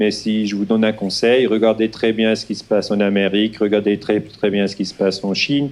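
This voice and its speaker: With a Swiss German accent, a man talks in a fairly low voice with monotone, flat intonation. He takes hardly any pauses. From Switzerland, German-speaking. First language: Swiss German (speaking French). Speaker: historian. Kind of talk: lecture. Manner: slow, halting with hesitations.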